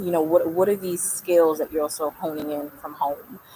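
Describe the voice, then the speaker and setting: Fairly even intonation and a New York accent come through over noticeable background noise. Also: woman. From New York, Brooklyn. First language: Spanish. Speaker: artist and community leader. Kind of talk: interview conversation.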